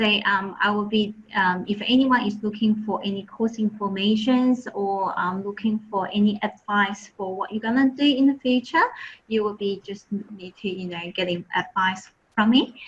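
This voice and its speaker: With a Chinese accent, a woman talks at a moderate pace in a medium pitch, her intonation fairly even. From Taiwan. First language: Mandarin Chinese. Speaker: admissions and marketing officer. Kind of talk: webinar presentation.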